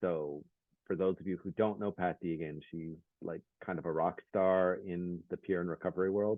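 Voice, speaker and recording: Very deep, low pitch from a man speaking quietly, at a moderate pace with ordinary pitch variation. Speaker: peer specialist program coordinator. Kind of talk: workshop presentation. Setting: video call.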